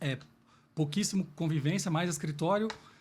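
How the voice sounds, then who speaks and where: A man talks at a fairly quick pace with a fairly high pitch and fairly even intonation. The recording is very clean, with a silent background. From Minas Gerais, Brazil (Lavras). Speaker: business executive, salesman. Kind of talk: podcast interview.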